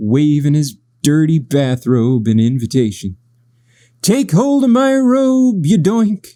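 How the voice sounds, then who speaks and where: At a fairly slow pace, someone performs a put-on character voice on a very clean recording with a silent background. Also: man, fairly high pitch for a man. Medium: read story. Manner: loud, blunt.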